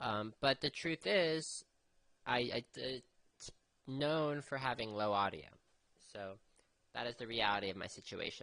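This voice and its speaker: The voice is soft-spoken with a bright, sharp tone. Its intonation is lively. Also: man. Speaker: amateur radio operator. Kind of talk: radio net conversation. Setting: two-way radio. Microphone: low audio, radio without mic gain.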